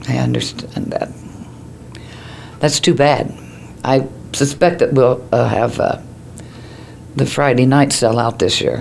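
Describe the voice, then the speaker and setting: Amid noticeable background noise, a woman with an American accent speaks with long, frequent pauses. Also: fairly slow pace. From Ohio. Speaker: newspaper editor. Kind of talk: interview answer.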